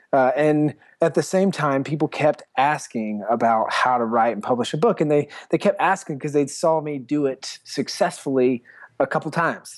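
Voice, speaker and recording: Recorded very cleanly against a silent background, a normal speaking voice with an American accent moves at a moderate pace with ordinary pitch variation. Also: man, fairly high pitch for a man. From US South, South Carolina. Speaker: entrepreneur and author. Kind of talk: interview.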